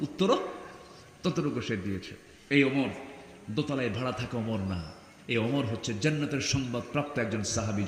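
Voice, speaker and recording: This man has a normal speaking voice, medium in pitch, with lively intonation. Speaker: Islamic preacher. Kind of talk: religious sermon at a gathering. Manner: call-and-response with audience.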